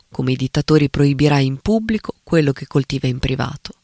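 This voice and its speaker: The speech comes at a fairly quick pace with ordinary pitch variation, recorded with a dry, close sound and no echo. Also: man. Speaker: writer and critic. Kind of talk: reading aloud an essay.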